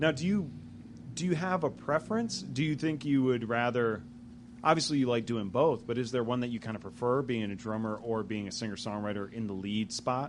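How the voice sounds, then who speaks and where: A man's normal speaking voice at medium pitch, with a fairly quick pace and ordinary pitch variation. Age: 30s. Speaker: magazine interviewer and jazz saxophonist. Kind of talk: casual interview. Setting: music venue.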